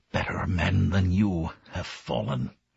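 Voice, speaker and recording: Whispering in a put-on character voice, a man sounds raspy and growling with a timid tone. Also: fairly slow pace. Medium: read story. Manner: timid, whispering.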